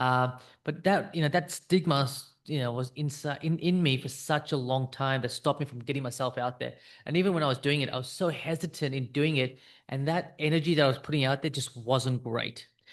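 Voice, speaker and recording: Fairly quick, fairly high-pitched speech from a man with an Australian accent, fairly even intonation, and a quiet background. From South Africa (Indian background), raised in Australia. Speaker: business coach for financial planners. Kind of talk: direct-to-camera talk, personal story. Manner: casual, with fillers like um and uh.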